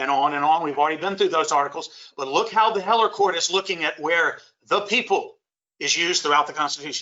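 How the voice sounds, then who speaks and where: A man with a Louisiana accent, high-pitched and very fast, with ordinary pitch variation. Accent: Southern US (Louisiana). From US South, Shreveport, Louisiana. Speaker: lawyer and constitution teacher. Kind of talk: lecture. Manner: emphatic.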